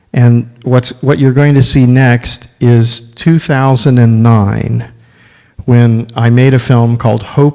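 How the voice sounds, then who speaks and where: Using a medium pitch and fairly even intonation, a man speaks at a very slow pace. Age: 60s. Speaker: filmmaker and ecological restoration speaker. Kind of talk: lecture. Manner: halting.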